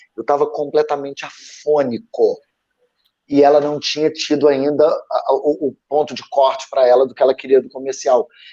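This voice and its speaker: Speaking at a moderate pace, a man with fairly high pitch and a dark, mellow tone keeps his intonation fairly even. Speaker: former actor, creative panelist. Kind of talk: live panel discussion. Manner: halting, many repetitions.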